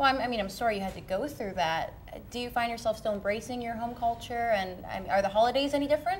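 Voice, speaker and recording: Music plays as a woman with a fairly high pitch and ordinary pitch variation speaks at a very fast pace. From British Columbia, Canada. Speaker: TV show host. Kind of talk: casual chat.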